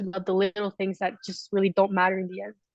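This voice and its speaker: A woman with a Canadian accent talks at a very fast pace, at a medium pitch, in a monotone, flat way. The sound is dry and close with no echo, and the background is quiet. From Canada. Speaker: alpine ski racer. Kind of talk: interview.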